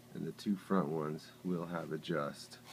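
Fairly even intonation carries through this clip, with light background noise behind it. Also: man. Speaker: 3D printer hobbyist builder. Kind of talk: casual show-and-tell to camera. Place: office. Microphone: phone near.

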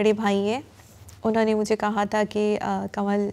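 In a dark, mellow tone, a woman holds a medium pitch with monotone, flat intonation. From Pakistan. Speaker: acid attack survivor. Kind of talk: testimony; interview answer. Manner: halting. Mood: sombre, reflective. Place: studio.

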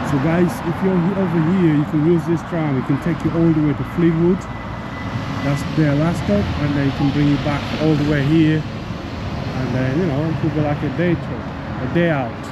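Loud background noise runs under speech at a moderate pace. The sound is dry with no echo. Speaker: walking vlogger. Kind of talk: casual vlog chat. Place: street. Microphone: phone near.

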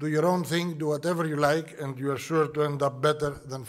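A man with a Greek accent and a fairly high pitch speaks against a quiet background. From Greece. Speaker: shipping executive. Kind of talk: welcome address. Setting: conference hall with audience. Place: hall. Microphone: podium.

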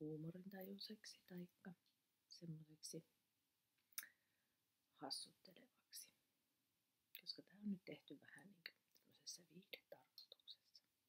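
Soft-spoken, a woman talks at a very slow pace with long, frequent pauses. Her loudness swings widely. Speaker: ASMR creator, teacher. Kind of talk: casual talk to camera, warning intro. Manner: soft-spoken, humorous. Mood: humorous, self-ironic. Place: home room.

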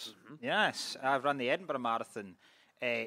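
Speaking in a Scottish accent at a moderate pace, a man has a fairly high pitch and a bright, sharp tone, with a dry sound with no echo over a quiet background. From Scotland. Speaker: comedian panelist. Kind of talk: comedy panel banter. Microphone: studio mic.

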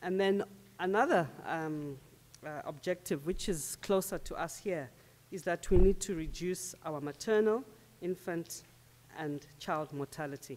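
A normal speaking voice at a fairly slow pace, with ordinary pitch variation. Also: woman, fairly low pitch for a woman. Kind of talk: conference presentation. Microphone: podium.

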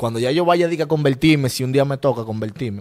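Speaking at a moderate speed, a man delivers his lines. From Dominican Republic, Santo Domingo east. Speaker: rapper; interviewee. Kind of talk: casual interview. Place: studio. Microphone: handheld.

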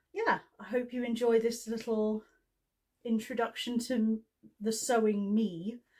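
A woman speaks in a somewhat breathy voice. The background is quiet. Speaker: sewing vlogger. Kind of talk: casual vlog chat. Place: home room. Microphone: camera far.

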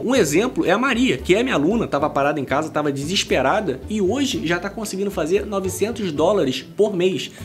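A man's high voice with very wide pitch swings over light background noise. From Brazil. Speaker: YouTuber reacting to videos. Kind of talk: reaction commentary. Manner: animated. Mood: indignant, mocking. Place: home room.

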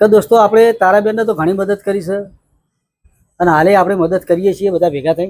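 This is a man's voice, high in pitch. The intonation stays fairly even. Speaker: vlogger. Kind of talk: charity appeal vlog.

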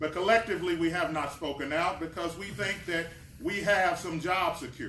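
A man at a high pitch, fairly quick, with ordinary pitch variation, audible room echo and light background noise. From Kentucky. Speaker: community organization president. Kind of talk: speech at press event. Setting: press conference at state Capitol. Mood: earnest, impassioned advocacy. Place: hall. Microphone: camera far.

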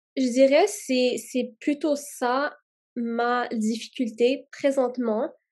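Against a quiet background, a woman speaks very slowly at a high pitch. Her pitch variation is ordinary. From Quebec / Gatineau, raised from childhood in Canada; Quebec. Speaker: student. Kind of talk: testimony. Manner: hesitant, many fillers and repetitions. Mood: thoughtful, calm. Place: home room. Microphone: webcam.

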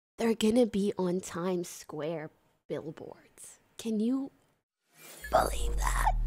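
A woman at a very slow pace over music in the background. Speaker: streamer. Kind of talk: casual live stream chat. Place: home room. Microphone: studio mic.

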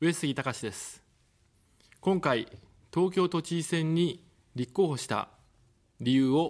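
Very slow and marked by long, frequent pauses, a man's speech shows big swings in loudness over a quiet background. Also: ordinary pitch variation. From Tokyo. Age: 40s. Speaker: political candidate, former journalist; candidate, former journalist. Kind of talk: campaign broadcast speech. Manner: formal. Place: studio. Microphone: studio mic.

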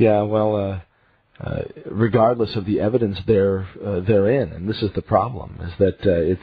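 Somewhat breathy and fairly low-pitched, a man speaks at a moderate pace. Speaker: radio talk show host. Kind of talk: radio DJ patter: station-break plug spelling out guest's web address. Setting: radio studio. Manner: enthusiastic, effusive reactions.

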